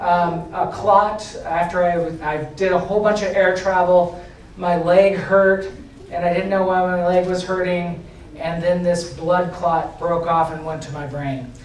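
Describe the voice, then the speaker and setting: Over noticeable background noise and audible room echo, a man speaks in a high-pitched voice with monotone, flat intonation. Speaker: agile coach and conference speaker. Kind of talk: conference talk. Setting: stage with audience. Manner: halting.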